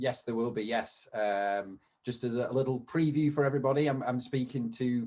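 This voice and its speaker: With a British accent, a man speaks at a moderate pace in a medium pitch, his intonation fairly even. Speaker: video podcast host. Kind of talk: casual interview chat. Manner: hesitant, many fillers.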